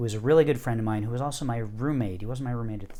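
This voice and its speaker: A man with a fairly low pitch and a dark, mellow tone at a very fast pace, with audible room echo. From US Northeast. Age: 50s. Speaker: poet and music teacher. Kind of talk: interview storytelling.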